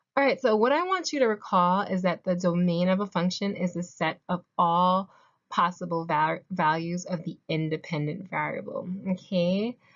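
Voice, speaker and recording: A woman with a normal speaking voice talks at a medium pitch and moderate pace, with ordinary pitch variation and a quiet background. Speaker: math tutor. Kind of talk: tutorial. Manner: casual, conversational.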